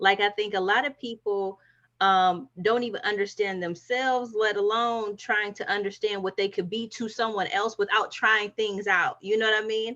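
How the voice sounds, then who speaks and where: A woman with an American accent talks in an ordinary speaking voice at fairly high pitch. She keeps a moderate pace against a quiet background. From northeast Ohio. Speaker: spiritual alchemist, insurance worker. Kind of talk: casual group discussion. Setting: online livestream.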